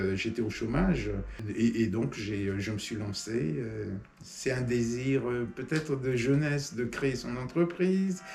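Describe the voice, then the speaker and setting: With music in the background and audible room echo, a man speaks at a very slow pace. His pitch is medium and his intonation lively. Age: 60s. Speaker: small business owner. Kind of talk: interview testimony. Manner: halting, many hesitations.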